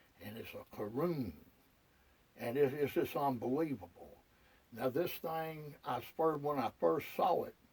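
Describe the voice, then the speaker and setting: A man with a Southern US accent speaks with long, frequent pauses and big swings in loudness. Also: fairly high pitch for a man, ordinary pitch variation, fairly slow pace. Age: 60s. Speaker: retired hunter. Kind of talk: casual monologue to camera. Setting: outdoors in a deer blind. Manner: halting, repetitive.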